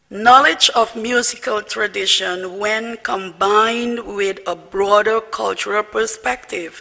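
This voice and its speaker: Speech comes at a very slow pace with hardly any pauses, over noticeable background noise. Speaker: diplomat. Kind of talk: formal dinner speech.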